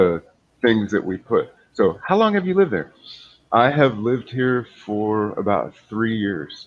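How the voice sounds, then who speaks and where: An unremarkable speaking voice belongs to a man with an American accent and medium pitch. He goes at a fairly slow pace with lively intonation. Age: 40s. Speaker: English tutor. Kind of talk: casual chat.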